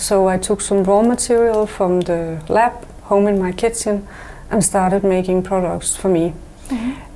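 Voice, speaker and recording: Her voice is a plain, everyday voice: a woman at medium pitch and moderate pace, with fairly even intonation and very even loudness. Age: 50s. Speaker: natural cosmetics business owner. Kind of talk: interview. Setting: studio.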